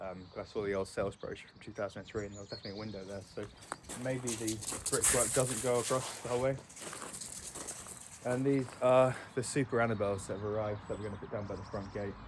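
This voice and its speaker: At a fairly quick pace, a man with an English accent speaks in a medium pitch and fairly even intonation, with noticeable background noise. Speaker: homeowner vlogger. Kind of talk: casual walkthrough vlog. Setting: outdoors. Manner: quiet.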